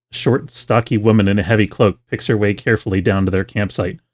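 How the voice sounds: Natural-sounding reading voice.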